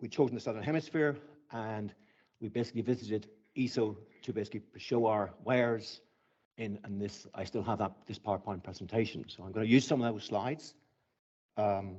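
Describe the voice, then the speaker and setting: At a fairly quick pace, a man speaks with ordinary pitch variation, big swings in loudness and long, frequent pauses. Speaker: astronomer. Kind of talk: conference talk. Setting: stage with audience. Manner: fast when nervous.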